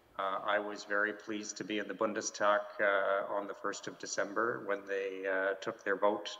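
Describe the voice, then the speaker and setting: The talking keeps a moderate tempo while noticeable background noise is heard. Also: man. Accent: Canadian. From Canada. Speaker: diplomat. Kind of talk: panel discussion. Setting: video call from home. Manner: halting, many fillers and repeats.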